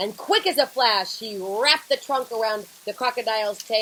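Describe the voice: Someone gives a plain reading aloud. Their pitch shifts about as much as usual.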